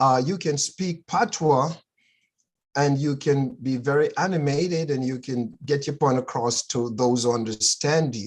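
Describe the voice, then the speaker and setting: This man, speaking in a Jamaican accent, has a fairly high pitch, ordinary pitch variation, and a fairly slow pace. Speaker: friend in casual chat. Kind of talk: casual chat. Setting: video call.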